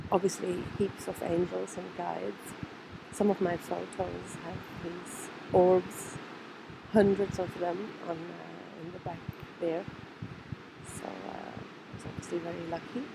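A woman speaks at a fairly slow pace, with long, frequent pauses and big swings in loudness. There is noticeable background noise. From Germany. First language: German. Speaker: trauma therapist. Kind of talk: personal video message.

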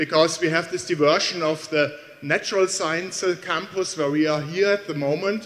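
Intonation stays fairly even. The pace is moderate. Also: man. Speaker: university professor giving welcome. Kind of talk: welcome speech. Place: hall. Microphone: handheld.

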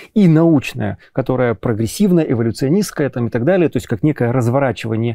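Against a quiet background, a man with a dark, mellow tone and lively intonation speaks at a moderate pace, the sound dry with no echo. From Ukraine. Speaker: psychologist, film club host; film club host. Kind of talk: interview. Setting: cinema hall. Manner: halting. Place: hall. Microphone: lapel.

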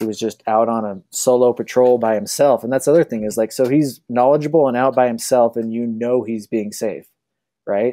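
This man has an American accent and a medium pitch. He talks at a fairly quick pace with fairly even intonation and a dark, mellow tone. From Utah, Salt Lake City; Utah. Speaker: telemark skier; podcast guest. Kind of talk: casual chat. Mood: relaxed, friendly. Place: home room. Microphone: earbuds.

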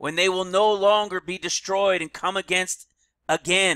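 A loud, high-pitched male voice at a very slow pace, on a very clean recording with a silent background. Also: dry, close sound with no echo. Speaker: online preacher. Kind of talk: sermon. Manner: animated.

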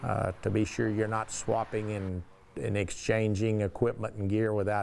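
Man's fairly low-pitched voice, monotone and flat, at a moderate pace over light background noise. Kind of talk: interview answer. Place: studio.

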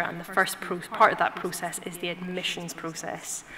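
The speaker is a woman. Background noise can be clearly heard. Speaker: doctor hosting the event. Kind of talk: event introduction speech. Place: hall. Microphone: podium.

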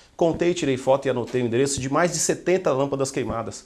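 The man's pitch moves an ordinary amount. He speaks very fast. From Brazil, Guarulhos (São Paulo); São Paulo, Brazil. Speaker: journalist and political candidate; journalist, candidate. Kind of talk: interview. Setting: studio. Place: studio. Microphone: lapel.

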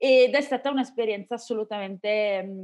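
Over a quiet background, a woman talks at a moderate pace with ordinary pitch variation. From Venice, Italy; Italy. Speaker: podcaster. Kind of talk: interview. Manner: calm. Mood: calm, enthusiastic. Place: home room. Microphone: video call.

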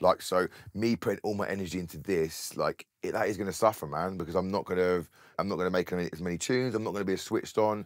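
A man with a southern English accent talks at a very fast pace, his pitch very deep and low, his intonation fairly even. The sound is dry with no echo, and the background is quiet. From Bedford, England. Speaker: DJ and music producer. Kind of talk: casual interview. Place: studio.

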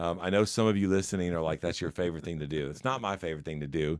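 Over a quiet background, a man speaks in a very deep, low pitch with ordinary pitch variation. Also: dry sound with no echo. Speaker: leadership podcast co-host. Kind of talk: casual chat. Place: studio. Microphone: studio mic.

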